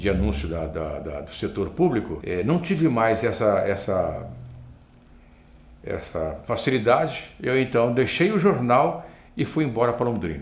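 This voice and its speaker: There is audible room echo as a man at medium pitch talks at a fairly slow pace with vocal fry and very wide pitch swings. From northern Paraná, Brazil. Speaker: broadcaster and master of ceremonies. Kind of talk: interview. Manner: repetitive false starts.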